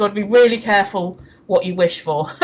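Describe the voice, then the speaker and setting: The speaker is a woman with an English accent. Her pitch varies an ordinary amount. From England. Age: 50s. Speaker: livestream co-host. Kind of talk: casual chat. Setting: livestream.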